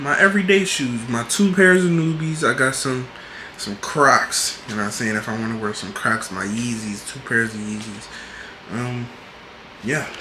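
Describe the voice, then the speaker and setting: A man at a moderate pace with lively intonation and big swings in loudness, amid audible room echo and noticeable background noise. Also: medium pitch for a man. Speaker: college student vlogger. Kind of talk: casual vlog room tour. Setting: college apartment room. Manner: whispering.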